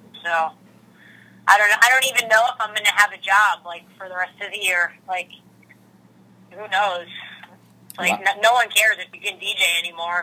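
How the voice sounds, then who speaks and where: Over noticeable background noise, a woman with an American accent talks at a medium pitch with fairly even intonation. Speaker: DJ and interview guest. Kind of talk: casual interview chat. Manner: relaxed, self-deprecating, hesitant with fillers.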